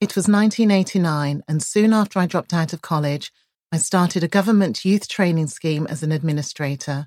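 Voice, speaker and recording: An ordinary speaking voice, heard in a very clean recording with a silent background and a dry, close sound with no echo, moves at a fairly quick pace with ordinary pitch variation. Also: woman, fairly low pitch for a woman. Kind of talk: audiobook reading of her own memoir chapter, first-person narration.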